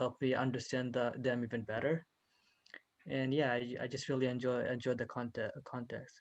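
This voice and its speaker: At a moderate pace, a man with a medium pitch talks in a monotone, flat intonation. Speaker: student. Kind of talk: class introduction. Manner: halting.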